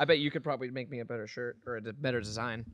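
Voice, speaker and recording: Against a quiet background, a man talks at a very fast pace, the sound dry with no echo. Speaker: podcast host. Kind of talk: casual chat. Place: home room. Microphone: studio mic.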